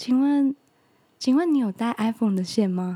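A woman speaks at a moderate pace in a high pitch, her tone dark and mellow and her intonation lively. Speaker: podcast co-host. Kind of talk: casual chat.

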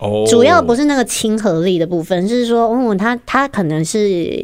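A woman speaks in a fairly high pitch with very wide pitch swings. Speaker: podcast co-host. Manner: giggly, laughs often.

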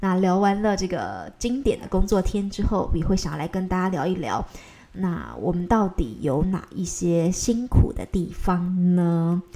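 A woman talks at a fairly slow pace. Her voice is fairly low-pitched, with a dark, mellow tone. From Taiwan. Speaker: news anchor and podcast host. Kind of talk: solo podcast monologue. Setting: recording at home. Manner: casual, chatty.

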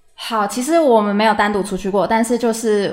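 Speaking at a fairly quick pace, a woman with a medium pitch is heard against noticeable background noise. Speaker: university student. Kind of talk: casual chat. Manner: lively, animated.

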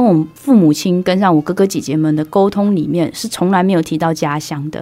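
A woman talks at a fairly quick pace with medium pitch and ordinary pitch variation. Noticeable background noise runs behind her. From Myanmar, moved to Taiwan at 6. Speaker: actress and performing artist. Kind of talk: interview conversation. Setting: studio. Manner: clear, standard pronunciation.

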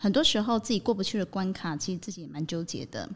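Her pitch medium and her intonation lively, a woman speaks at a very fast pace in a very clean recording with a silent background. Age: 40s. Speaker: psychological counselor and educator. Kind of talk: podcast interview.

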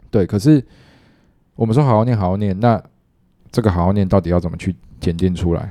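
A man's fairly low, dark and mellow voice at a very fast pace, with ordinary pitch variation, long and frequent pauses, and a very clean recording over a silent background. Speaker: junior high teacher. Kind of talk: casual chat.

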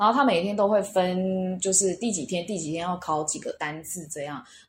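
A woman speaks with a somewhat breathy voice. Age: 30s. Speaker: language school student. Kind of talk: interview.

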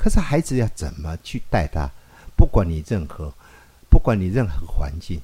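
This man's very deep, low voice has a dark, mellow tone and vocal fry, moving at a moderate pace with very wide pitch swings and big swings in loudness. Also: very clean recording, silent background. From rural Taiwan. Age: 50s. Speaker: pediatrician. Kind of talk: interview.

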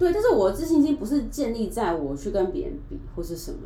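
Very wide pitch swings and a moderate pace in a Taiwanese accent, with audible room echo. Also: woman. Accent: Taiwanese Mandarin. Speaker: podcast guest, YouTuber. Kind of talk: casual chat.

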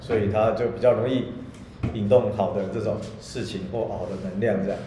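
Here a man speaks at a medium pitch. The recording has noticeable background noise and audible room echo. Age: middle-aged. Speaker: podcast co-host, qimen divination teacher. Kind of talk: casual chat. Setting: room with echo in a new home.

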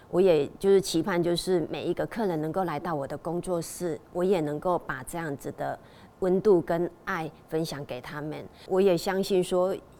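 Fairly even intonation marks the delivery. The voice has a dark, mellow tone. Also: woman, fairly low pitch for a woman, moderate pace. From Taiwan, Tainan. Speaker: hairdresser. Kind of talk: testimony.

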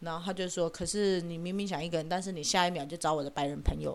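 At a fairly quick pace, a woman talks in an ordinary speaking voice, fairly low in pitch, with fairly even intonation. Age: 40s. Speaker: podcast host. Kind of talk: casual solo commentary.

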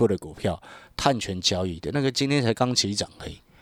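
A man speaks at a moderate pace with very wide pitch swings. The sound is dry and close with no echo, on a very clean recording with a silent background. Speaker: stock market analyst. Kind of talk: radio stock commentary. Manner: animated.

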